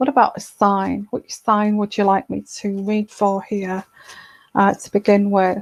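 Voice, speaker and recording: Soft-spoken and at medium pitch, a woman talks fairly slowly with fairly even intonation and big swings in loudness, in a dry, close sound with no echo. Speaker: tarot reader. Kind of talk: live stream Q&A. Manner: halting.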